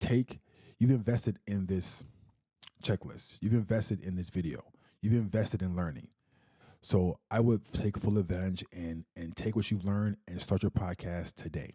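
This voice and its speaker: A man speaks at a moderate pace in a very deep, low pitch with a dark, mellow tone and ordinary pitch variation, recorded with a dry, close sound and no echo. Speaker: podcasting coach. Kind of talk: tutorial. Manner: stutters.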